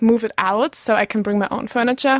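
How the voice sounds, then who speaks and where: A woman with a German accent speaks in a fairly high pitch and fairly even intonation. The recording is very clean, with a silent background and a dry, close sound with no echo. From western Germany, near Düsseldorf. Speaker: exchange student. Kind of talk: interview. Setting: studio.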